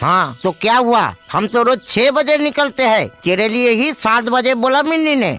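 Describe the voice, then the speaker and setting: A man's cartoonish character voice, raised and projected, at an extremely high pitch and a moderate pace, with faint music in the background. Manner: blunt, scolding.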